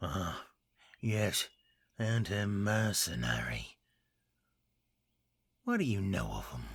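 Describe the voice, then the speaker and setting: A man puts on a character voice, pitched fairly low, with very wide pitch swings. He goes at a very slow pace, leaving long, frequent pauses. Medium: read story. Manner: blunt, gruff.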